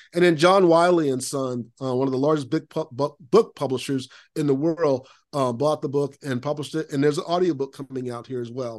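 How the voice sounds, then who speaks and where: A man with an American accent talks at a fairly quick pace over a quiet background. He has an ordinary speaking voice with ordinary pitch variation. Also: fairly high pitch for a man. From Central Florida (Lakeland). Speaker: productivity consultant and author. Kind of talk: podcast interview.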